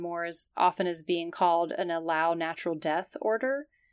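A woman with an American accent speaks at a fairly quick pace in a plain, everyday voice with fairly low pitch. The recording is very clean, with a silent background. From US South. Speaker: emergency nurse, podcast co-host. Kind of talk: educational podcast chat.

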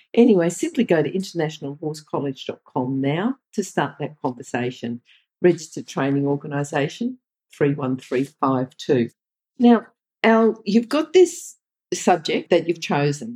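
With an Australian accent, a woman speaks at a moderate pace in a very deep, low pitch, her dark, mellow tone swinging very widely in pitch within a dry, close sound with no echo. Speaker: podcast interviewer. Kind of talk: interview.

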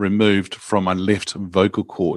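A New Zealand accent at a moderate pace, dry and close with no echo, on a very clean recording with a silent background. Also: man. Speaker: executive coach. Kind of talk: casual interview.

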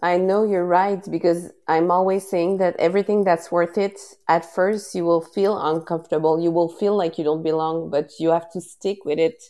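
With a dark, mellow tone and a Quebec accent, a woman talks in a monotone, flat intonation, with hardly any pauses. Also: fairly low pitch for a woman, moderate pace. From Quebec, Canada. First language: French. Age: 30s. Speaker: podcast host and wellness advocate. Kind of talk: casual interview. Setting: live stream. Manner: halting, many fillers.

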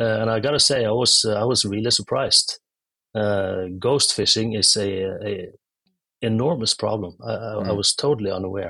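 A man speaks at a medium pitch in a Norwegian accent. His tone is bright and sharp, with fairly even intonation. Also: moderate pace, quiet background. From Norway. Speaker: tech startup founder. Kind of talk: interview. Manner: halting.

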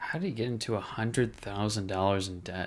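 This man has a plain, everyday voice and a fairly low pitch. He talks at a moderate pace with ordinary pitch variation. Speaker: co-host. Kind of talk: casual chat.

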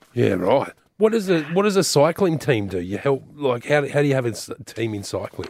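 Pitched fairly high, a man's voice rises and falls across a very wide range. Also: moderate pace. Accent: Australian. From Newcastle area, New South Wales, Australia. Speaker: auctioneer and memorabilia expert, radio co-host. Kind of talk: late-night talkback radio.

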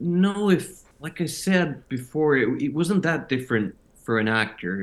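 Speaking with a Finnish accent, a man goes at a fairly slow pace with lively intonation. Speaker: actor. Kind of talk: interview. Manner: halting.

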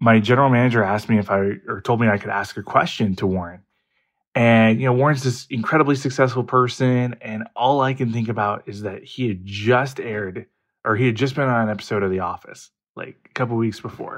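In a normal speaking voice, the speaker moves at a fairly quick pace with fairly even intonation. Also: man, medium pitch for a man. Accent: American. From US Midwest. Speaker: podcast listener calling in. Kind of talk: voicemail story.

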